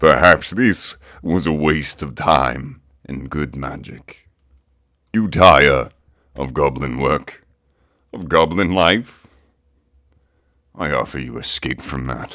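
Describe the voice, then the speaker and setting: Using a cartoonish character voice, a man speaks very deep and low at a fairly slow pace, with long, frequent pauses. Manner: formal, ceremonious.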